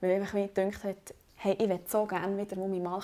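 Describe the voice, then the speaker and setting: A woman uses a normal speaking voice, pitched in the middle and paced moderately. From Switzerland, Bernese Oberland. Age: 20s. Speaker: student podcast host, amateur volleyball player. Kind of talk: casual chat.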